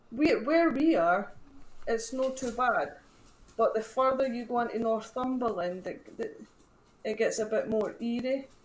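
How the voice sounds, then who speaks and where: A woman with a Scottish accent speaks in a high pitch at a fairly slow pace, with ordinary pitch variation and audible room echo. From Scotland. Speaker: paranormal team founder. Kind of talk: casual chat.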